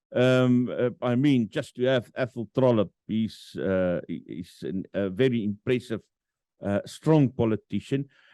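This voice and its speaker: A man with a South African accent speaks at a fairly slow pace in a dark, mellow tone, his medium pitch showing ordinary variation, with a dry, close sound and no echo. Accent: Afrikaans-accented English. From South Africa, Free State. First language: Afrikaans. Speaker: podcast host. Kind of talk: interview. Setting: virtual studio. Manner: halting, many fillers.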